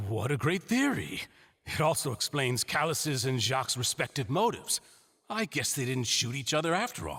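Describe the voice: A man's put-on character voice, medium in pitch with big swings, fairly bright with a slightly husky edge, at a moderate pace with few pauses and faint music in the background.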